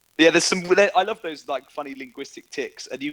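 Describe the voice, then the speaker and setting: A man with a British accent, fairly high in pitch, at a fairly quick pace with lively intonation. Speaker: online chat host. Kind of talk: casual chat. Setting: Discord voice chat.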